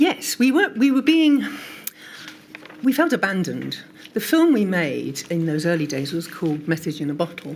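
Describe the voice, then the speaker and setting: A woman talks at a moderate pace, leaving long, frequent pauses, while noticeable background noise continues. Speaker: patient advocacy group co-founder. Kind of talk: testimony at a public inquiry.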